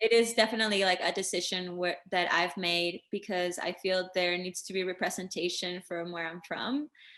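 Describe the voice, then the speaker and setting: Against a quiet background, a woman with a Spanish accent talks at a moderate pace with hardly any pauses, her tone bright and sharp, her pitch medium and her intonation fairly even. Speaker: singer-songwriter. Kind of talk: interview. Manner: casual, filler-heavy.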